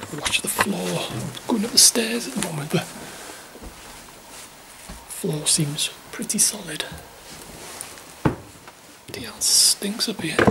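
A man whispering at a fairly slow pace, with long, frequent pauses. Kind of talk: casual vlog chat. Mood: dismayed at the damage. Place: empty room. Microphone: phone near.

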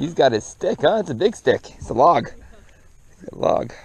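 A man speaks at a moderate pace with a fairly high pitch and big pitch swings. His voice has a slightly husky edge.

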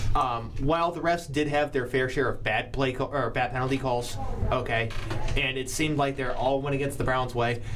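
Over noticeable background noise, a man talks at a fairly quick pace and medium pitch with fairly even intonation. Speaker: sports talk show host. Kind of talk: casual sports talk. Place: studio. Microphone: studio mic.

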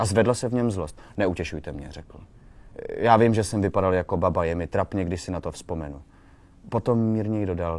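The speech is plain reading aloud with ordinary pitch variation.

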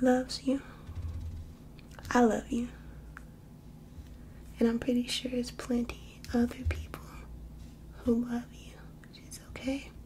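A soft-spoken woman at a fairly slow pace, with long, frequent pauses and light background noise. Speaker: ASMR creator. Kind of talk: ASMR affirmations. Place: home room. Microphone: phone near.

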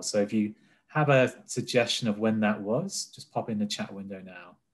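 At a moderate pace, a man with an ordinary speaking voice talks at a fairly low pitch with fairly even intonation. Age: 30s. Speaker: health technology business cluster manager; webinar host, presenter. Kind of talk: presentation. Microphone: webcam.

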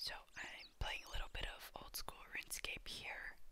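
A woman whispering at a fairly slow pace. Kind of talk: ASMR gaming commentary. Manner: whispered, soft.

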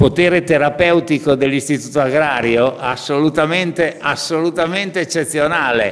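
In a normal speaking voice, a man talks at a moderate pace and fairly high pitch with ordinary pitch variation and hardly any pauses. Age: 50s. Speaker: trade union leader; speaker. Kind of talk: conference speech. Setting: parliament conference room. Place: hall. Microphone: podium.

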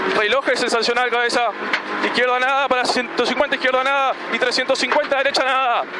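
The sound is dry with no echo, set against loud background noise. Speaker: rally co-driver. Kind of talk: rally co-driver pace notes call. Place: car. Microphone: headset.

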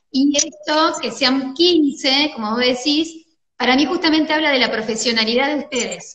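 Speaking at a moderate pace with a Rioplatense accent, a woman uses a high pitch and ordinary pitch variation, with audible room echo. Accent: Argentine Spanish (rioplatense). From Argentina. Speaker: doctor and wellness course teacher, interviewer; wellness course teacher, interviewer. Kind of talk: interview. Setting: video call. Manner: animated. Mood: warm, smiling. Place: home room. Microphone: video call.

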